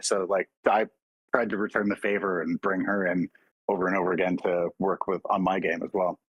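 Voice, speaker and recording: A man with a Canadian accent talks fairly quickly in a very deep, low pitch, his intonation monotone and flat. The sound is dry and close, with no echo. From Oakville, Ontario, Canada. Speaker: voice actor. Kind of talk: interview answer.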